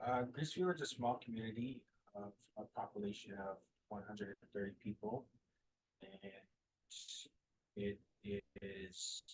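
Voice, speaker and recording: A man with a fairly low, somewhat breathy voice talks at a moderate pace. He leaves long, frequent pauses and keeps his intonation fairly even. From Nunavut, Canadian Arctic. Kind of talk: panel discussion. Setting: video call from a ship.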